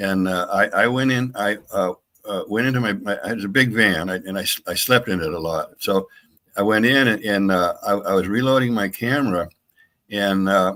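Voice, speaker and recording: A fairly low-pitched man's voice with a bright, sharp tone, moderate pace and ordinary pitch variation, on a very clean recording with a silent background. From New England, Maine. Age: 80s+. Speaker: paranormal researcher and author. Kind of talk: interview storytelling. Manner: halting, many repetitions and fillers.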